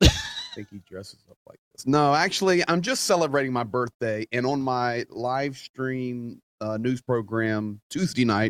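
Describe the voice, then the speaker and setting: A man at medium pitch with a normal speaking voice, a fairly slow pace, ordinary pitch variation, big swings in loudness, and a dry, close sound with no echo. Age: 40s. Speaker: YouTube news show host. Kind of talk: casual chat.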